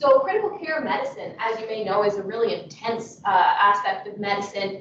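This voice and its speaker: Speaking at a fairly quick pace, a woman with a fairly high pitch and ordinary pitch variation is heard amid audible room echo and noticeable background noise. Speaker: nursing student researcher. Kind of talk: conference presentation.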